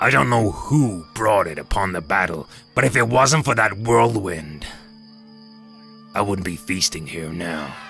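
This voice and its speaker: A man with a fairly low pitch uses a cartoonish character voice with lively intonation and long, frequent pauses. He goes at a moderate pace with clear music in the background. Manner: brash, hearty.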